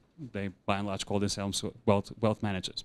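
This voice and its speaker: A man with a Portuguese accent speaks at a very fast pace and a fairly low pitch. The recording is very clean, with a silent background. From Portugal. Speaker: insurance consultant. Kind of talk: conference presentation. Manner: hesitant with fillers and repetitions.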